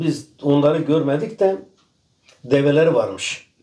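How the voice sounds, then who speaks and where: A man's voice sits at a fairly high pitch with a dark, mellow tone. His pitch varies in an ordinary way. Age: 60s. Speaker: farmer. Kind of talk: casual chat.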